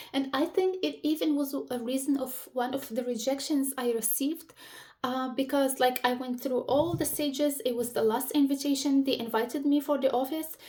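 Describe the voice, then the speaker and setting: A dark, mellow tone with an Arabic accent shows ordinary pitch variation. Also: woman, high pitch for a woman, moderate pace. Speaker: career advice vlogger. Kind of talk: casual advice talk to camera. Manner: searching for words, some pauses.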